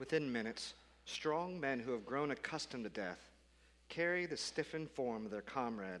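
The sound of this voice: Intonation here is lively. It comes from an unforced reading voice.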